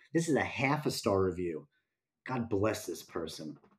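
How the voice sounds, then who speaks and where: At a moderate pace, a somewhat breathy man speaks on a very clean recording with a silent background. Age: 40s. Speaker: podcast co-host, horror film fan. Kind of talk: casual chat about films.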